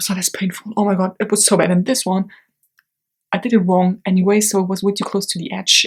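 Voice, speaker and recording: At a very fast pace, a woman speaks in a medium pitch with a somewhat breathy sound. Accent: non-native. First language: not English. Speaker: beauty YouTuber. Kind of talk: unboxing video. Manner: animated.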